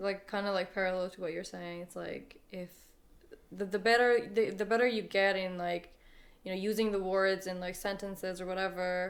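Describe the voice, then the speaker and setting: In an Iranian accent, a woman speaks in a monotone, flat intonation with big swings in loudness. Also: medium pitch for a woman, moderate pace. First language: Farsi. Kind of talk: casual chat.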